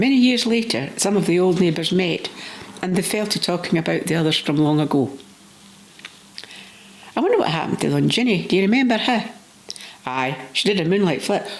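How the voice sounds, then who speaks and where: A woman with a Scottish accent speaks at a fairly quick pace with long, frequent pauses and very even loudness, over noticeable background noise. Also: medium pitch for a woman, lively intonation. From Scotland. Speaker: storyteller. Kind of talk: personal reminiscence story reading.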